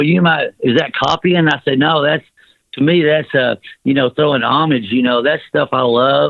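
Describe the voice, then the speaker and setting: A man talks at a moderate pace with a Southern US accent. His pitch is fairly high, with ordinary variation. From US South. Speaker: rock singer. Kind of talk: interview. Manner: halting, filler-heavy.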